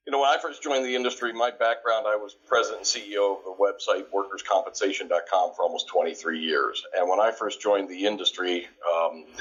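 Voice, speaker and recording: Noticeable background noise sits behind a man speaking. He goes at a very fast pace with hardly any pauses. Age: 60s. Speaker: workers' comp education company co-founder. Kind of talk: podcast interview. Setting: audio podcast.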